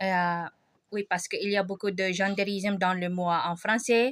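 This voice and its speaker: In a very clean recording with a silent background, a woman talks at a fairly slow pace with a Filipino accent. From Philippines. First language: Filipino language (speaking French). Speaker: vlogger. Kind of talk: casual vlog monologue. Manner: halting, many hesitations.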